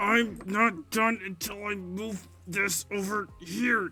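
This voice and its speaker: Using a put-on character voice, a man speaks very slowly at a high pitch in a flat monotone while music plays in the background. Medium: actual play.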